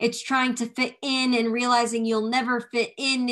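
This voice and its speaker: The speaker is a woman. She talks with a fairly high pitch. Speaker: slam poet. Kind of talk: spoken word poetry. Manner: rhythmic, emphatic.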